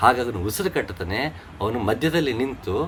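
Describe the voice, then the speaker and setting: A man speaks with very wide pitch swings. His pitch is medium. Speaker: spiritual teacher. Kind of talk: religious discourse. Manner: halting, effortful speech.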